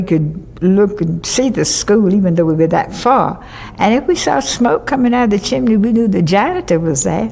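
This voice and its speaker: Medium pitch from a woman, a moderate pace and very even loudness, with noticeable background noise. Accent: Southern US. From US South, western North Carolina. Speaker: oral history interviewee. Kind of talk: oral history interview. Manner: halting.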